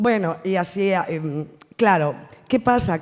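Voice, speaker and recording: A woman speaks at a fairly slow pace. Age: 50s. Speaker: actress. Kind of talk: round table talk. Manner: animated.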